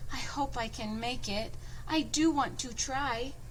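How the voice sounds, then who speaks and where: In a high-pitched put-on character voice, a woman speaks at a fairly slow pace over clear background noise. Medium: read story.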